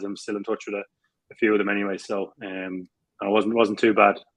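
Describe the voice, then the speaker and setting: This man has a South Dublin accent. He speaks at a fairly quick pace. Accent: South Dublin accent, teased by teammates. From Ireland, South Dublin. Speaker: Gaelic football player. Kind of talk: interview. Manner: hesitant, many fillers and repeats.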